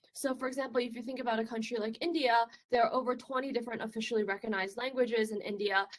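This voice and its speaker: A woman speaks with a Chinese accent. Her pace is very fast. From China. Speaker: research scientist. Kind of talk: conference talk. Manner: casual, filler-heavy.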